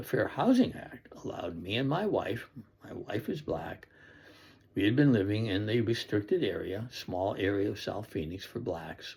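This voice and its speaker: With an American accent, a man speaks at a fairly low pitch in a somewhat breathy voice with lively intonation. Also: moderate pace. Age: 80s+. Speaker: political commentator. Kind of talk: personal commentary monologue. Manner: halting, with fillers.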